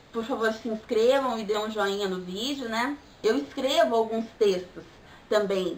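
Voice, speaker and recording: Using an ordinary speaking voice, a woman talks fairly slowly, her pitch fairly high with ordinary pitch variation. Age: 20s. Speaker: vlogger, pagan mother. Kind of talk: vlog monologue.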